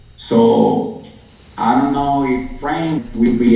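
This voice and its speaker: Noticeable background noise and audible room echo accompany a man with a non-native accent whose fairly high voice swings very widely in pitch. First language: not English. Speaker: crypto and prophecy show host. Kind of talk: livestream chat. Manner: halting.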